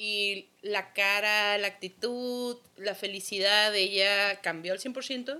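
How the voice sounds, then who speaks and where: A woman with a medium pitch speaks in a bright, sharp tone. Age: 30s. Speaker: podcast co-host. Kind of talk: casual chat.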